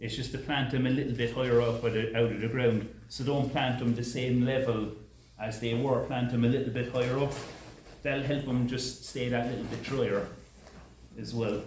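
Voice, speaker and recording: Against noticeable background noise and audible room echo, a man with a Cork Irish accent talks at a moderate pace and medium pitch in a monotone, flat intonation. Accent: Kinsale (Cork) Irish. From Ireland, Kinsale, County Cork. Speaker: horticulturist. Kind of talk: lecture. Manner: hesitant, many fillers.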